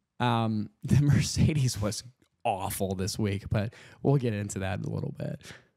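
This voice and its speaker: A man's fairly low, dark, mellow voice with vocal fry and ordinary pitch variation, over a quiet background. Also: moderate pace, dry sound with no echo. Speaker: podcast co-host. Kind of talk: casual chat. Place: home room. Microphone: studio mic.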